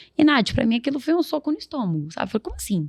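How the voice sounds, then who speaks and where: A woman talking very fast, the sound dry and close with no echo. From Brazil, Guarulhos (São Paulo area). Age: 20s. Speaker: social entrepreneur. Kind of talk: interview, personal storytelling.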